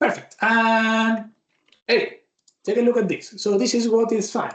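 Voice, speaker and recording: In a Spanish accent, the words come out fairly slowly. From Argentina. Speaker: tech speaker. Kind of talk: live software demo.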